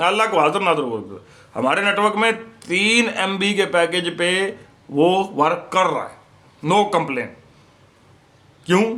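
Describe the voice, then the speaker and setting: The man's high-pitched voice carries lively intonation. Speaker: YouTuber, IPTV/OTT service seller. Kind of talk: casual vlog monologue. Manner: sounds like arguing, forceful tone.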